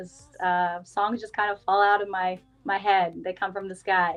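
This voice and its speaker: Over music in the background, a woman with a Californian accent speaks in a flat monotone at a medium pitch. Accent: Californian American. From Northern California (Auburn). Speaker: singer-songwriter. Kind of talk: casual interview.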